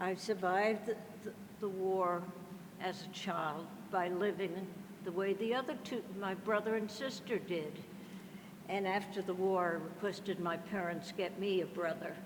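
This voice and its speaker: Noticeable background noise sits behind a woman of medium pitch who speaks at a moderate pace with fairly even intonation and long, frequent pauses. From Netherlands. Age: 80s+. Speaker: Holocaust survivor. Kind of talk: testimony.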